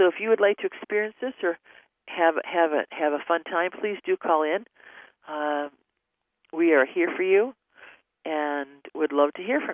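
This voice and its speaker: A woman with a fairly low pitch and ordinary pitch variation speaks at a moderate pace, her loudness swinging widely and her long pauses coming often. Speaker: radio host and spiritual consultant. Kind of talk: call-in advice show. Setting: studio, taking phone calls.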